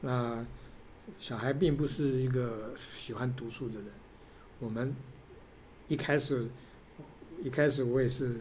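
A man speaks at a very slow pace, with long, frequent pauses. His voice is somewhat breathy, and the room echo is audible. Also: medium pitch for a man, fairly even intonation. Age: 60s. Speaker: father of a college freshman, securities industry worker. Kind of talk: interview. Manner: halting.

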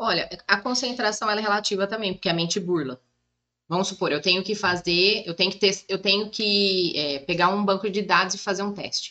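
At a moderate pace, the voice comes across bright and sharp, with ordinary pitch variation. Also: woman, medium pitch for a woman. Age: 30s. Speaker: psychoanalyst and massage therapist. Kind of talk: casual chat.

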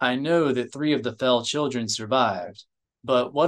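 The speaker uses a natural reading voice with fairly even intonation. The background is quiet.

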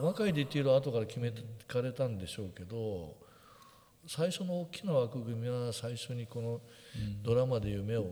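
A man in a normal speaking voice, medium pitch, lively intonation and moderate pace. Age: 60s. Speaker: photographer and podcast co-host. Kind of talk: casual chat.

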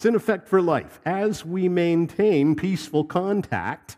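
This man's fairly high voice has a dark, mellow tone. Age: 50s. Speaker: pastor. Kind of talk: sermon. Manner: halting.

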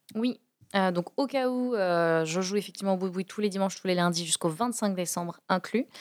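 A woman speaks at a moderate pace in a normal speaking voice, her medium pitch moving with ordinary variation. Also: very even loudness. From France, Toulouse. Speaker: comedian and corporate trainer. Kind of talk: podcast interview.

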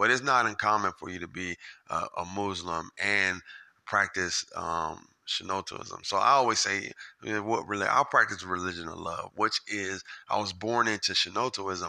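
This man's voice sits fairly low in pitch, with a bright, sharp tone. He speaks at a moderate pace with ordinary pitch variation against a quiet background. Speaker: podcast host. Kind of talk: casual chat. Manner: halting, many fillers; animated.

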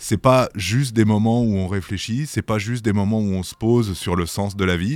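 Speaking at a moderate pace with ordinary pitch variation, a man with a fairly low pitch and a slightly mellow tone is heard on a very clean recording with a silent background.

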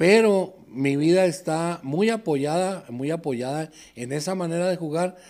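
The recording is very clean, with a silent background. A man with a high pitch speaks at a fairly slow pace with ordinary pitch variation. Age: 60s. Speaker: sports bettor. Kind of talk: casual chat.

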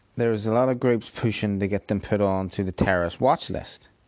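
A man with a Northern Irish accent and ordinary pitch variation, in a dry, close sound with no echo against a quiet background. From Northern Ireland. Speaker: YouTuber commentator. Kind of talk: casual video commentary.

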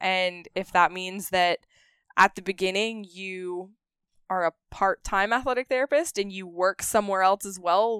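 In a very clean recording with a silent background and a dry, close sound with no echo, a woman speaks at medium pitch with ordinary pitch variation. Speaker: athletic therapist. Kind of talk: casual chat. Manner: animated.

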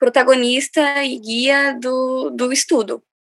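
A woman is speaking. Her pitch is high, with ordinary pitch variation. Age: 20s. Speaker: cultural project researcher. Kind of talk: podcast interview.

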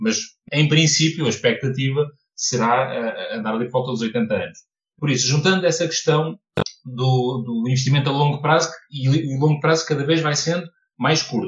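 A man with a fairly high pitch and ordinary pitch variation speaks at a moderate pace, sounding somewhat breathy. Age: 30s. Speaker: personal finance content creator. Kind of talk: podcast interview.

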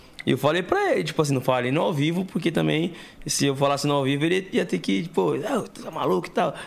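A man's fairly high voice at a very fast pace with very wide pitch swings, amid noticeable background noise. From Santo André, São Paulo state, Brazil. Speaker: podcast co-host. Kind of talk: casual chat.

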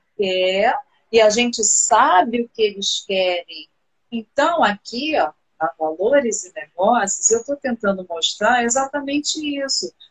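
Fairly slow, lively-intoned speech with big swings in loudness, music in the background. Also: woman, fairly high pitch for a woman. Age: 40s. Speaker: live stream host, former teacher. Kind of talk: casual chat.

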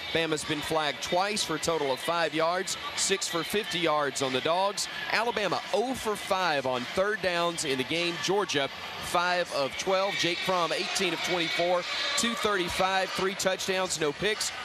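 Amid noticeable background noise, a man speaks at a high pitch and a fairly slow pace, with ordinary pitch variation and very even loudness. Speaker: radio sideline or studio host. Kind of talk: live commentary.

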